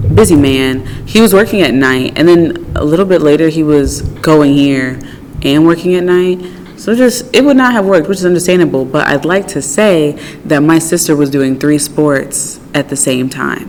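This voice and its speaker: Over noticeable background noise, a woman talks with a very deep, low pitch. Her pace is moderate and her intonation lively. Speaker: podcast co-host. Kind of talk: casual chat. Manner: talkative, animated.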